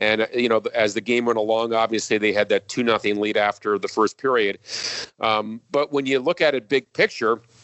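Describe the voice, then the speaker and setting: With an American accent, a man speaks in an ordinary speaking voice at a medium pitch and moderate pace, his loudness very even and his intonation fairly even. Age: 50s. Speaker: hockey TV play-by-play announcer. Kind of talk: casual interview.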